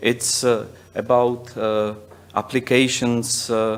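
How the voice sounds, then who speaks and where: This man speaks very slowly in a Czech accent, his intonation flat and monotone. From Czech Republic. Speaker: software company managing director; presenter. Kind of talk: conference presentation. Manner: halting, many fillers. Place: hall.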